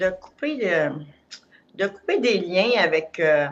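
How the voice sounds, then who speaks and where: Using a Quebec accent, a woman talks at a very slow pace. Her medium-pitched voice has lively intonation. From Quebec, Montreal. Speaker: client giving a testimonial. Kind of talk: testimony. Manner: halting.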